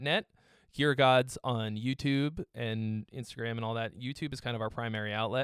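Here a man talks in a normal speaking voice at a moderate pace. His pitch is medium, with ordinary variation. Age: 30s. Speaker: guitarist and music gear youtuber. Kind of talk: casual chat. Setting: video call.

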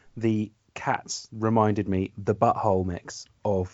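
This man has a fairly low pitch and a southern English accent, and his intonation is monotone and flat. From southern England. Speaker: music store manager. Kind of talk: casual chat. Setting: video call.

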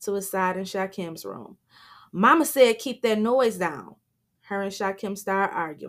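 The reading voice is unforced, with ordinary pitch variation. Behind it, things are quiet.

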